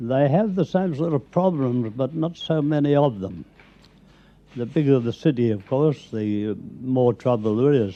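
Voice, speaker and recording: An Australian accent marks this man's speech. He talks at a fairly slow pace with lively intonation. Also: medium pitch for a man. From South Australia. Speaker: pest controller and former rat catcher. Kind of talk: radio interview answer. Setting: recorded at home.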